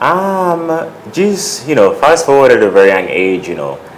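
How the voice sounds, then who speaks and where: A man talks at a moderate pace, his pitch swinging very widely. There is audible room echo and noticeable background noise. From Uganda, raised in the US from childhood. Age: 30s. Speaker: fashion designer. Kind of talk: interview. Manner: casual, many fillers.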